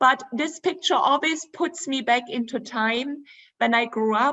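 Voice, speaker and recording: A woman with a German accent speaks fairly slowly in a high voice. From Germany, Dresden. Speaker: travel presenter. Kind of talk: virtual presentation with slides.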